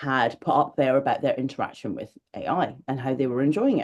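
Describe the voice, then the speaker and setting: In a Scottish accent, a woman with a very deep, low pitch and a dark, mellow tone talks at a very fast pace. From Scotland. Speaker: magazine editor. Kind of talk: interview. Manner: loud.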